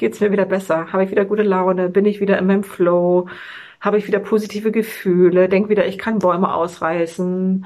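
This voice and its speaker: An unremarkable speaking voice comes at a moderate pace with fairly even intonation over a quiet background. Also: woman. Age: 40s. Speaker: fitness vlogger and mother. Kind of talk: personal video monologue.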